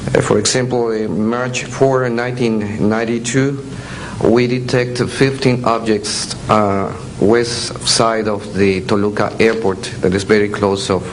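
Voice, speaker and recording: In a Mexican accent, a man with a fairly low pitch talks at a fairly slow pace with fairly even intonation, amid noticeable background noise and audible room echo. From Mexico. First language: Spanish. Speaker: air traffic controller. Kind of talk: testimony. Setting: stage with audience. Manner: halting.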